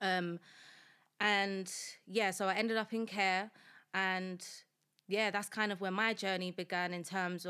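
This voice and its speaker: In a very clean recording with a silent background, a woman speaks in a monotone, flat intonation with a South London accent. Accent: South London, Multicultural London English. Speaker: founder of a support movement, former prisoner. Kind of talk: podcast interview, personal life story. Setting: studio.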